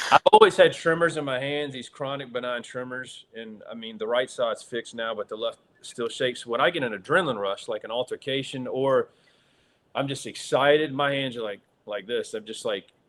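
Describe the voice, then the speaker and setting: A man at medium pitch, talking at a fairly quick pace, with big swings in loudness. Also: ordinary pitch variation. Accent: Southern US. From US South. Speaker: actor. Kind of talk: interview storytelling. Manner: hesitant, many fillers.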